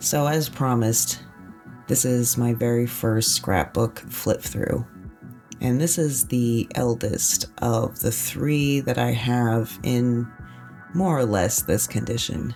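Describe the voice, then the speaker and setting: A relaxed tone at a very slow pace, with music in the background. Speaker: author. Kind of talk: casual narrated flip-through ramble. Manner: relaxed, rambling.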